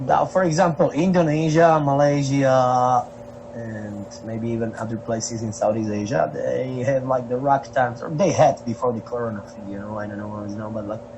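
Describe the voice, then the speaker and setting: At a moderate pace and medium pitch, a man speaks with ordinary pitch variation and big swings in loudness amid noticeable background noise. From Slovakia. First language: Slovak. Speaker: traveling street musician. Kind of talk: podcast interview. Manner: halting, many fillers.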